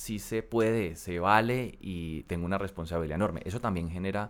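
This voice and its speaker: The recording is very clean, with a silent background. A man with a normal speaking voice talks at a moderate pace with ordinary pitch variation. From Colombia, coffee region (Armenia, Quindío), later Cali. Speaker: congressman. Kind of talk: interview.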